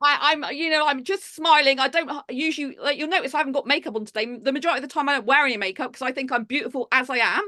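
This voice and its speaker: A woman projects a raised, high voice with a bright, sharp tone, talking at a very fast pace with ordinary pitch variation. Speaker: public speaker. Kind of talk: casual interview.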